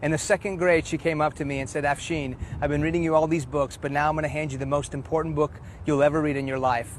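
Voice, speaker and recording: A man with a Texas accent and a fairly high pitch speaks at a very fast pace with fairly even intonation. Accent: American, Texas. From Houston, Texas (childhood partly in Iran). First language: Farsi. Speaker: preacher. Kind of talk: testimony.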